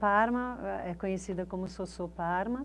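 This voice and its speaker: This woman's medium-pitched voice shows ordinary pitch variation at a very slow pace. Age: 60s. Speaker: photographer, university alumna. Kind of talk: interview testimony, reminiscing. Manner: casual, hesitant with fillers.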